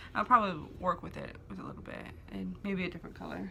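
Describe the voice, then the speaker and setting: Mumbling at a very fast pace, a woman runs her words together. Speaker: beauty vlogger. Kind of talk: casual get-ready-with-me chat.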